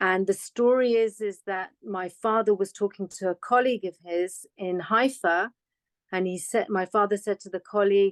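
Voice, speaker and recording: Recorded with a dry, close sound and no echo, a woman with a British accent speaks at a medium pitch and moderate pace, her intonation fairly even. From England (UK), London. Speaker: foundation director. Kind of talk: interview conversation.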